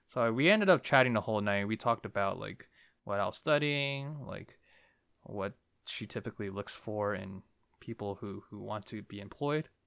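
Heard in a very clean recording with a silent background, a man with a normal speaking voice and an American accent talks at a moderate pace, his fairly low pitch showing ordinary pitch variation and his loudness swinging widely. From New Jersey. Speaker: podcast host. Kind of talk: casual chat.

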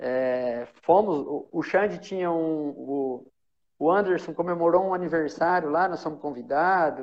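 His pitch is high for a man. It varies in an ordinary way. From São Paulo state, Brazil. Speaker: former professional footballer. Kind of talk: casual chat.

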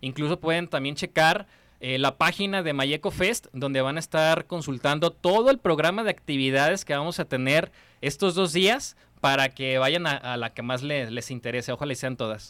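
A bright, sharp tone at a moderate pace, with ordinary pitch variation and a dry, close sound with no echo. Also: man, fairly high pitch for a man. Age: young. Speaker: eco festival organizer. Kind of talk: interview.

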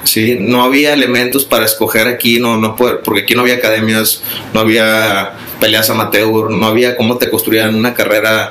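Heard through audible room echo and noticeable background noise, a man talks at a moderate pace. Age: 30s. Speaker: mixed martial arts coach and former fighter. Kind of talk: casual interview. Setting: martial arts gym. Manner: halting, with many repetitions and fillers.

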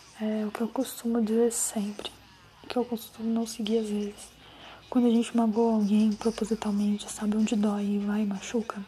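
A woman speaks at a moderate pace with a fairly high pitch and monotone, flat intonation. Noticeable background noise runs underneath. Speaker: podcaster. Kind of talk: personal monologue.

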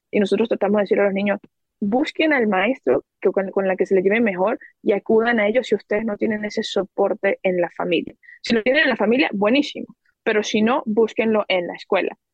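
A woman with a plain, everyday voice talks at a fairly quick pace, her fairly high pitch showing ordinary variation and her loudness very even. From Venezuela. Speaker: education entrepreneur. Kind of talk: podcast interview.

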